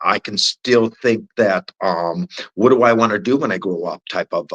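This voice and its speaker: A man speaks at a moderate pace, his voice dry and close with no echo. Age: 60s. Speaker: podcast guest. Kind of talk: casual chat. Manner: halting.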